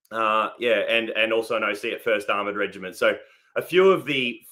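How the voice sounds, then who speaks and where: Talking fairly quickly, a man speaks with an Australian accent. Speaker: army veteran. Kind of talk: casual interview.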